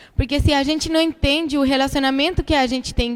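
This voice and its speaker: Keeping a moderate speed, a woman talks in a high-pitched voice. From Chile. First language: Spanish (speaking Portuguese). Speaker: missionary guest preacher. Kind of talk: sermon. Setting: church. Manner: casual, conversational.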